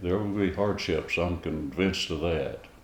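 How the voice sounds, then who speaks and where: A man with an American accent and a very deep, low pitch, speaking at a fairly slow pace, with audible room echo and noticeable background noise. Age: 90s. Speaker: elderly interviewee, Great Depression survivor. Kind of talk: interview. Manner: halting, many fillers.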